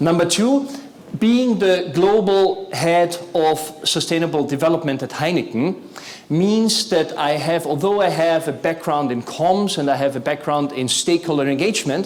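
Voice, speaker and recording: A man with a non-native accent talks at a moderate pace, his pitch fairly high and his intonation lively. Noticeable background noise and audible room echo are present. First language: not English. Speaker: corporate sustainability executive. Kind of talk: conference talk.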